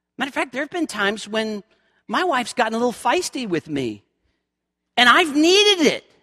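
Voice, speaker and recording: A man speaks at an extremely high pitch in a bright, sharp tone with an American accent, his raised, projected voice making very wide pitch swings. The pace is fairly quick, broken by long, frequent pauses, and the sound is dry and close with no echo. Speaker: pastor. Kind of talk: sermon. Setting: church. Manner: loud.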